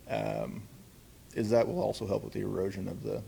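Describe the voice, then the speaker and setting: There is audible room echo. A man is speaking. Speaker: city parks manager. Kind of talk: conference talk. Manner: loud; halting, many fillers.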